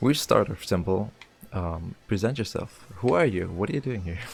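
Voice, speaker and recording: Somewhat breathy, a man talks at a fairly low pitch. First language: German. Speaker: gaming channel host. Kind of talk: interview.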